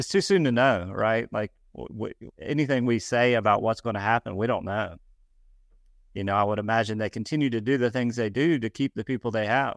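With a normal speaking voice, a man with an American accent talks at a fairly quick pace and medium pitch with ordinary pitch variation, in a dry, close sound with no echo on a very clean recording with a silent background. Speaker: real estate team leader and co-founder. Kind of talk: casual chat.

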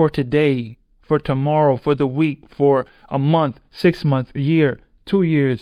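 At a very slow pace, a man speaks with a dry, close sound with no echo. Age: 30s. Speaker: podcast host and professional basketball player. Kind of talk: motivational monologue.

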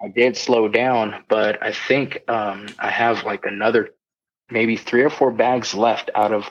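A plain, everyday voice with an American accent moves at a fairly slow pace with fairly even intonation. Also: man. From Southern California. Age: 30s. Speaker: army veteran. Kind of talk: casual interview.

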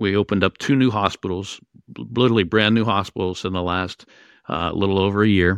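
A man with an American accent and a fairly low pitch speaks at a moderate pace with fairly even intonation, the sound dry and close with no echo. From Western Pennsylvania, Pittsburgh area. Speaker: emergency physician and hospital IT executive. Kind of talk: interview. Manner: frequent fillers and hesitations.

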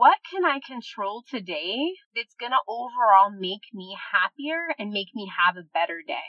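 A woman with a plain, everyday voice speaks at a fairly high pitch. Her intonation is lively. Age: 40s. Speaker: podcast host, self-help speaker. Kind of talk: motivational monologue.

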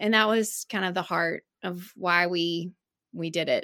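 A woman with an Alabama accent, bright and sharp in tone, medium in pitch, with ordinary pitch variation and a dry, close sound with no echo. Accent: Southern US (Alabama). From US South, Alabama (Birmingham). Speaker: business owner, parenting website founder. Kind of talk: interview.

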